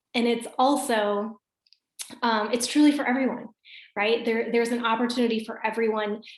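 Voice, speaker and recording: With an American accent, a woman speaks at a moderate pace in a fairly high pitch and a normal speaking voice. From US Midwest, Michigan. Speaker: wellness business coach, former teacher. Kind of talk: video call presentation. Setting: video call. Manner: casual, upbeat.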